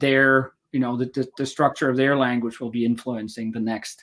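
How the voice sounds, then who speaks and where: A man speaks in a monotone, flat intonation. The recording is very clean, with a silent background. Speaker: historical linguist. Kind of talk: interview. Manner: mumbling.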